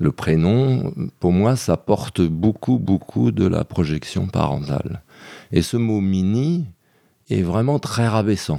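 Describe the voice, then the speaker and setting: Very deep and low, a man's voice has a dark, mellow tone. He speaks very slowly, with very wide pitch swings. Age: 60s. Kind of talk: interview testimony. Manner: reflective with hesitations.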